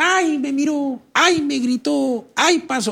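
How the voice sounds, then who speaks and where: Someone does a whiny put-on character voice at a high pitch and a very slow pace. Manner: mocking, whiny imitation.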